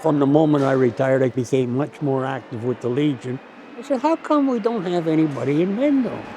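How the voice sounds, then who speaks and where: Over noticeable background noise, a man talks at a fairly quick pace. His voice is fairly high-pitched with lively intonation. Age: 80s+. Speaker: war veteran, poppy volunteer. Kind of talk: interview answer.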